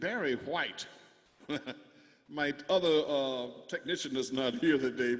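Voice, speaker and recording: Noticeable background noise sits behind a man's speech. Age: 60s. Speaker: musician performing live concert. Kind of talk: casual chat. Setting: video call. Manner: halting.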